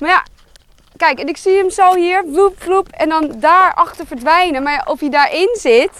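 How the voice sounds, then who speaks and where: A woman speaks at an extremely high pitch and a fairly slow pace. Her tone is animated and her intonation lively. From Netherlands, Amsterdam. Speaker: podcast co-host, birdwatching enthusiast. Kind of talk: casual chat while birdwatching outdoors. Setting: outdoors on a heath.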